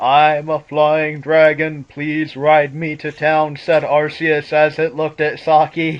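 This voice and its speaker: Using a put-on character voice, a man talks at a fairly slow pace with fairly high pitch and flat, monotone intonation. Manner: serious.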